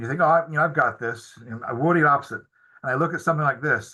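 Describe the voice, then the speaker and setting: This man's tone is bright and sharp, with ordinary pitch variation. The background stays quiet. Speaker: biology professor and herbarium curator. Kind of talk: webinar lecture. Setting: online webinar. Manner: fast; halting, many repetitions and fillers.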